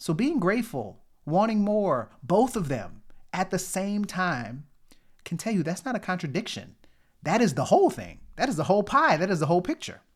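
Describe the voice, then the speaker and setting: With a New Orleans accent, a man talks at a high pitch with very wide pitch swings. The recording is very clean, with a silent background. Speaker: motivational podcast host, pharmacist. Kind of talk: motivational talk. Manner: conversational, repetitive emphasis.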